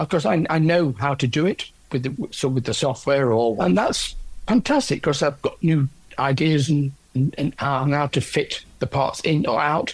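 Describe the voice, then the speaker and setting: The voice is somewhat breathy, with very even loudness, ordinary pitch variation and a moderate pace. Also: man. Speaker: orchestral percussionist with aphasia after a stroke. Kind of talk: interview about own experience. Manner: halting, with word-finding pauses and repetitions.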